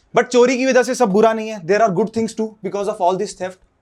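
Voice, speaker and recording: His intonation is fairly even, and his pitch is high. The man keeps a moderate pace. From Haryana, India. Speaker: stand-up comedian. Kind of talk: stand-up comedy set.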